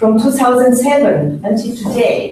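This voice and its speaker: A woman talks with ordinary pitch variation amid noticeable background noise and audible room echo. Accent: strong French. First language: French. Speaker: funding agency official. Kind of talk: conference speech. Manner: halting, many fillers.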